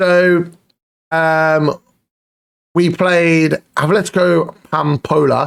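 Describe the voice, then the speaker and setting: A man with a British accent at a high pitch, very slow and monotone, flat in intonation, with long, frequent pauses and a dry, close sound with no echo. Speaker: football manager gaming youtuber. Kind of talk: gaming commentary. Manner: casual, conversational.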